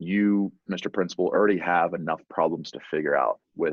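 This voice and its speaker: A man speaks at a moderate pace with vocal fry, in a dry, close sound with no echo. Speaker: software company presenter. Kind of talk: webinar presentation. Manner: many fillers and repetitions.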